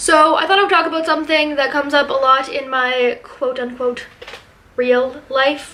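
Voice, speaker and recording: A raised, projected voice speaks at a moderate pace with ordinary pitch variation over noticeable background noise. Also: woman, high pitch for a woman. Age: 20s. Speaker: vlogger. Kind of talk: casual vlog talk. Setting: at home in her apartment.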